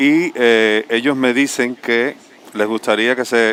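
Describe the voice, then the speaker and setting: A man speaks in a plain, everyday voice at a medium pitch. His intonation stays fairly even. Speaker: visual artist. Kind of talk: panel discussion.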